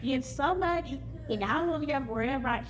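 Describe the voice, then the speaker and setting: Against music in the background and audible room echo, a woman speaks in a high pitch. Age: 60s. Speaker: family reunion attendee. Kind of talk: casual talk to a gathering. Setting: family reunion gathering.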